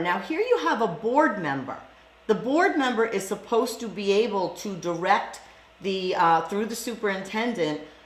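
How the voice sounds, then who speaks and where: A woman talks with lively intonation. Noticeable background noise and audible room echo fill the recording. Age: 60s. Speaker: school board candidate. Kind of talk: interview.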